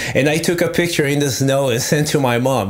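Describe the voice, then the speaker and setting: A man with a Brazilian accent talks at a fairly quick pace, at medium pitch with ordinary pitch variation. Audible room echo and noticeable background noise fill the recording. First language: Portuguese. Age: 30s. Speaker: metal guitarist. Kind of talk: casual chat. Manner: animated.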